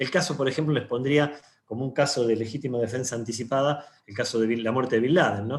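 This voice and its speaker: At a fairly quick pace, a man speaks in a somewhat breathy voice at a medium pitch. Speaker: lawyer. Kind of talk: panel talk. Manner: fast.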